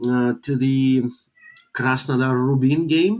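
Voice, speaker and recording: A man with a Russian accent and a medium pitch talks at a fairly slow pace, with ordinary pitch variation. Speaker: football journalist. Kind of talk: casual podcast discussion. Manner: halting, many hesitations.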